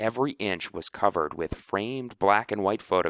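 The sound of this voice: The pitch varies in an ordinary way across an unforced reading voice.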